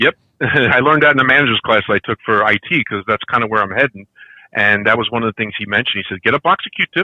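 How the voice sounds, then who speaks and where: A man talks at a very fast pace in a Brooklyn accent. His pitch sits in the medium range. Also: ordinary pitch variation. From Brooklyn, New York. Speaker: podcast guest, figure collector. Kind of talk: casual chat. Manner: talkative.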